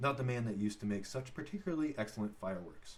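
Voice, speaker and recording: A somewhat breathy man at a medium pitch, fairly quick in pace, with very wide pitch swings. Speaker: father reading aloud. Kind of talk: read-aloud audiobook. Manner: halting, with stumbles.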